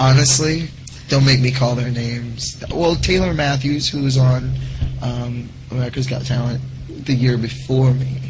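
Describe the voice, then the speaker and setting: A man speaks in a monotone, flat way at a moderate pace. There is audible room echo and noticeable background noise. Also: medium pitch for a man. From Louisiana, Pineville. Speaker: singer. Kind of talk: talk show interview.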